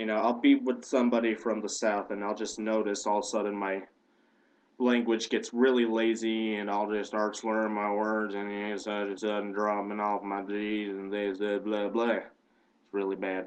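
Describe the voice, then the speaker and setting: In an American accent, a man talks at a moderate pace with a fairly low pitch and monotone, flat intonation. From Indiana, US Midwest. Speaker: video blogger. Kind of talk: casual vlog monologue. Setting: home webcam, on a couch.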